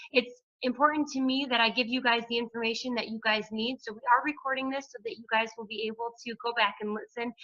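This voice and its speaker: A high-pitched woman's voice at a very fast pace, with hardly any pauses, fairly even intonation and big swings in loudness. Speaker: hairdresser and wellness coach. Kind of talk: group call presentation. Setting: conference call.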